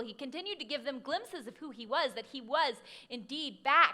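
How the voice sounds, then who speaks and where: A raised, projected voice moves at a fairly quick pace with a bright, sharp tone. The pitch swings very widely. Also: woman. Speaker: pastor. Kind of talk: sermon.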